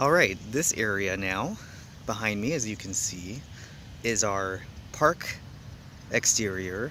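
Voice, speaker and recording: Very slow and broken by long, frequent pauses, a man's fairly low voice carries lively intonation. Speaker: comedian and show host giving a tour. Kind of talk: casual vlog tour narration. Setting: outdoors on a studio backlot, in a tour vehicle.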